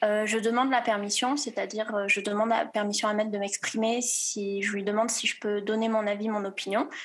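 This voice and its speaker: A woman with a fairly high pitch and ordinary pitch variation, speaking at a moderate pace over noticeable background noise. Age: 20s. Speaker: student. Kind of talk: testimony. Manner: halting.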